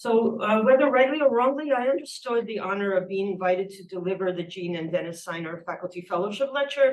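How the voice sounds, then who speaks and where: Audible room echo surrounds a woman speaking at a medium pitch with ordinary pitch variation. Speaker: professor. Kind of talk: lecture. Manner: fast.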